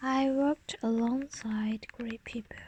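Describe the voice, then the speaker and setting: Against noticeable background noise, a woman speaks very slowly at a high pitch with fairly even intonation. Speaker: ASMR creator. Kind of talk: ASMR text reading, soft reading of an English passage. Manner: whispered, soft-spoken.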